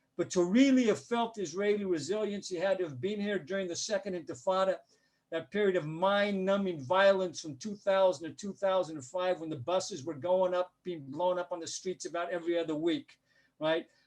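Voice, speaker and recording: Speaking at a fairly quick pace with a Denver accent, a man uses a high pitch and ordinary pitch variation. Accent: American, Denver. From US, Denver. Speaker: journalist and political analyst. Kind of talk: lecture.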